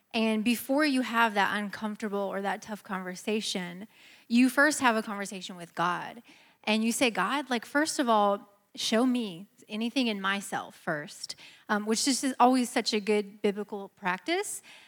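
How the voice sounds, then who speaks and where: A woman talks in a normal speaking voice, fairly high in pitch with ordinary pitch variation, at a moderate pace on a very clean recording with a silent background. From US Midwest. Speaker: churchgoer, married panelist. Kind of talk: panel discussion.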